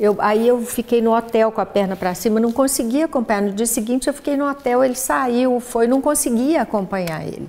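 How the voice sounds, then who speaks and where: A woman's fairly high yet dark, mellow voice moves at a fairly quick pace. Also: ordinary pitch variation, hardly any pauses. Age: 60s. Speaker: guest, geneticist and cancer survivor. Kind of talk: casual chat.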